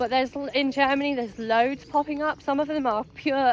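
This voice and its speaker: A high-pitched woman with an English accent at a moderate pace, her intonation fairly even. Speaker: vlogger. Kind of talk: casual chat.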